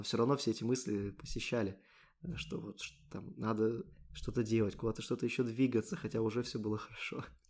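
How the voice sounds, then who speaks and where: A man talks at a fairly quick pace and a medium pitch, his intonation fairly even. He leaves long, frequent pauses. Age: 20s. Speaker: podcast host, software developer. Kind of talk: casual chat.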